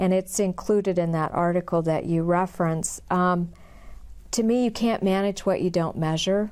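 A woman speaks with a US Midwestern accent at a fairly slow pace. Her intonation is monotone and flat, and the background is quiet. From rural western Illinois. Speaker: university marketing executive; interviewee. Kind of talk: oral history interview. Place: studio.

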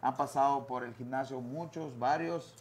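A man with a fairly high voice speaks at a fairly slow pace with ordinary pitch variation. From Quintana Roo, Mexico. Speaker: former boxer and boxing coach; guest. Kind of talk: interview. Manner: halting, many fillers and repeated words. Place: studio. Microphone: lapel.

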